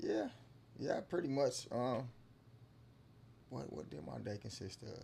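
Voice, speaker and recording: A man at a medium pitch with a dark, mellow tone and vocal fry, fairly slow, with very wide pitch swings and big swings in loudness. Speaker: podcast guest. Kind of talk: casual chat. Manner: halting.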